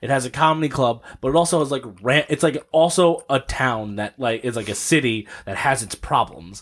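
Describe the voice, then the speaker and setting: At a moderate pace, a man with a normal speaking voice talks with lively intonation. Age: 30s. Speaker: podcast host and stand-up comedian. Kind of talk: casual chat.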